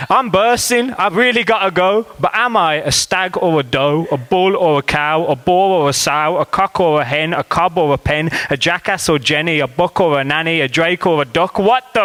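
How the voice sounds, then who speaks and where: With hardly any pauses, a man talks at a moderate pace in a high pitch, his tone bright and sharp, his intonation lively, and his loudness very even. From Birmingham. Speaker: spoken word poet. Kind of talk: comic spoken word poetry performance. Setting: live venue.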